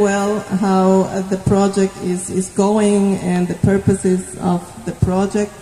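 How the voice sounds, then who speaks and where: A woman speaking at a very slow pace over noticeable background noise. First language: not Indonesian (speaking Indonesian). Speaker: development agency manager. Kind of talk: formal speech at site visit. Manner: halting, many fillers.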